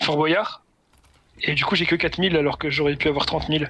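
Over light background noise, a man with a fairly high voice speaks at a moderate pace in a dry sound with no echo. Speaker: gamer. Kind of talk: casual chat.

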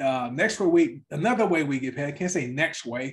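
A man's somewhat breathy voice with a fairly high pitch. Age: 50s. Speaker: network marketing presenter. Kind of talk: sales pitch. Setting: online livestream presentation.

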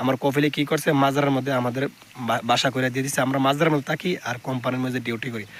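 Here is a man with a plain, everyday voice. His intonation is fairly even. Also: medium pitch for a man. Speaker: migrant worker vlogger. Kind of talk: casual vlog talk. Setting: on a farm.

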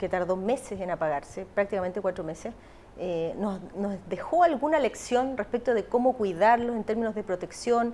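Her pitch is fairly high for a woman, with ordinary variation. She speaks at a fairly quick pace. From Chile. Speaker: news interviewer. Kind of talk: broadcast interview. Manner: formal. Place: studio.

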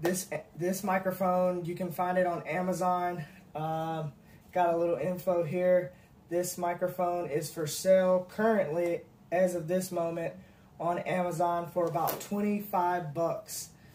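Over light background noise, a man speaks fairly slowly in a high pitch. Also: monotone, flat intonation. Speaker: product reviewer. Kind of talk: casual unboxing review. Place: home room. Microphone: phone near.

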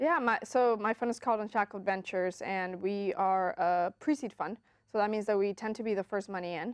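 A woman with an American accent talks at medium pitch and a fairly quick pace. Her pitch varies in an ordinary way, and the sound is dry with no echo. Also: quiet background. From Orlando, Florida (Colombian-born). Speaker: venture capitalist; interview guest. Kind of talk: interview. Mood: calm, earnest. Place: studio. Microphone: lapel.

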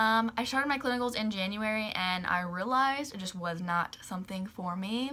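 Fairly quick and bright, a woman's sharp voice rides a fairly high pitch with ordinary pitch variation. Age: 20s. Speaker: YouTuber; vlogger. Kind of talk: casual vlog monologue. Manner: chatty with many fillers. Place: home room.

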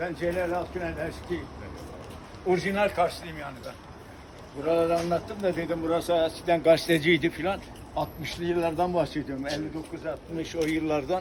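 This man speaks at a high pitch and a moderate pace. His intonation is monotone and flat. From Turkey, Kars. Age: 80s+. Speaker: local elder. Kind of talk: casual chat.

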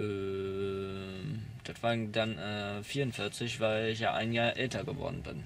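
At a very slow pace, a man speaks in a fairly low voice with fairly even intonation over light background noise. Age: 20s. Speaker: young man recounting youth welfare care. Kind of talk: interview testimony. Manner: halting. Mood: calm, hesitant. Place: car. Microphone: phone near.

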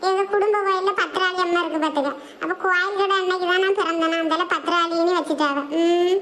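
A woman uses a cartoonish character voice at an extremely high pitch, with monotone, flat intonation and very even loudness. Her pace is moderate, with light background noise. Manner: calm, gentle.

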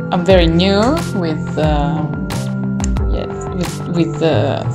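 Loud music plays in the background while a woman speaks. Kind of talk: tutorial. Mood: light, self-deprecating, laughing. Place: home room. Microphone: phone near.

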